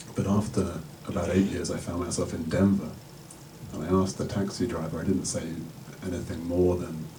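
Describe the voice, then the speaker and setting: A man's very deep, low voice at a moderate pace, with fairly even intonation, audible room echo and noticeable background noise. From England. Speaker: spiritual teacher. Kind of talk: talk to an audience.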